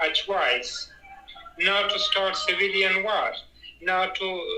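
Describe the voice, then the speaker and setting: A man with a non-native accent at a very slow pace, with audible room echo and noticeable background noise. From Afghanistan. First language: not English. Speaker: Afghan interviewee. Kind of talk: interview. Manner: halting.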